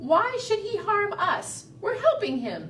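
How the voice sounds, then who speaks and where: Over clear background noise, a put-on character voice sounds squeaky, pitched extremely high and delivered at a fairly slow pace. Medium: read story.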